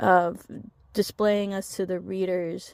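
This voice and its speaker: In an American accent, a woman talks with monotone, flat intonation. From Oklahoma, US. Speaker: book reviewer. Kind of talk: book review vlog. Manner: halting, repeats words.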